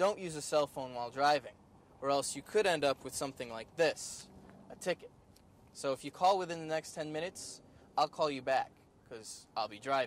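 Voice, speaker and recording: Here a man with a normal speaking voice talks at a fairly quick pace. His pitch is fairly high, and his loudness swings widely. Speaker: student TV news reporter. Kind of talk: TV news report.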